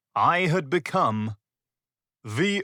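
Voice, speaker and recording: Playful and bright with a sharp tone, a man with a British accent speaks with very wide pitch swings. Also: very clean recording, silent background. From United Kingdom. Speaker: children's author. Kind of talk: children's story reading. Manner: playful, humorous.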